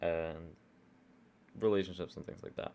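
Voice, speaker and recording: Vocal fry runs through a man's very deep, low voice. His pitch varies in an ordinary way. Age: 20s. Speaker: YouTuber drawing and talking. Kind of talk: casual monologue while drawing.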